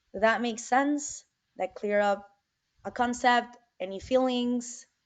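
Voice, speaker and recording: A woman with a Spanish accent speaks at a high pitch and a very slow pace. Her intonation stays fairly even. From Venezuela. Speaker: environmental advocacy field manager. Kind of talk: presentation. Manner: conversational, with many fillers.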